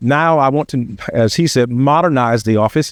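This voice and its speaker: A man's ordinary speaking voice, medium in pitch with ordinary pitch variation, in dry, close sound with no echo against a quiet background. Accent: American. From Virginia (Chesapeake). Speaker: sheriff candidate. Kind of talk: campaign speech. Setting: public forum with audience.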